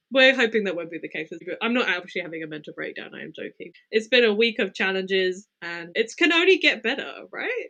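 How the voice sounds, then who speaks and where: A woman with a British accent talks at a fairly quick pace in a fairly high, bright, sharp voice, with very wide pitch swings and big swings in loudness. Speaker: true crime podcast co-host. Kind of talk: casual chat. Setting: sitting on living room floor. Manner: fast; slightly breathless.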